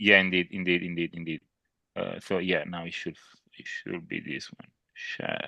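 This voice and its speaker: In an Italian accent, a man speaks at a moderate pace with long, frequent pauses and big swings in loudness. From Italy. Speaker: doctor. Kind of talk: casual chat.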